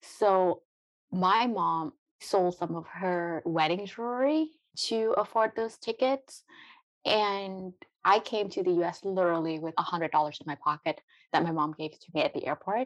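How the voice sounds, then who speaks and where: A medium-pitched woman with a Vietnamese accent, at a fairly slow pace with lively intonation, against a quiet background. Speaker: biotech entrepreneur. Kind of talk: interview.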